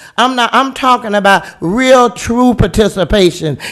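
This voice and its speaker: Loud and animated, the voice comes through with an American accent. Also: man. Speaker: city commissioner. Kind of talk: heated debate.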